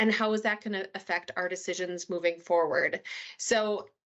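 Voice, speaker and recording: This is a woman speaking with a Minnesotan accent. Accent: Minnesota. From US Midwest, Minnesota. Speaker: solution architect presenter. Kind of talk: webinar presentation.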